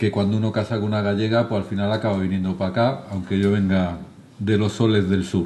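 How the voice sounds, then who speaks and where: In a southern Spanish accent, a man speaks at a very fast pace with a dark, mellow tone and a monotone, flat intonation. His loudness stays very even, and room echo is audible. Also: fairly low pitch for a man. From southern Spain. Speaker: charity director, lecturer. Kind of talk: lecture.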